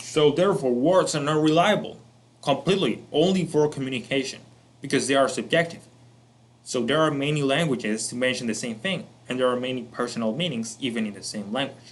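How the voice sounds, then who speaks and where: A man with a Spanish accent talks at a fairly quick pace and a fairly high pitch. His intonation is lively, and the room echo is audible. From Colombia. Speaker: self-improvement educator. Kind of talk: lecture.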